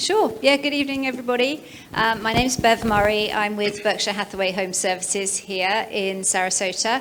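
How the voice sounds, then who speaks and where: Over noticeable background noise, a woman in a British accent speaks at a fairly high pitch and a fairly quick pace. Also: ordinary pitch variation. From England (London). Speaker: real estate agent. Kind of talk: webinar presentation.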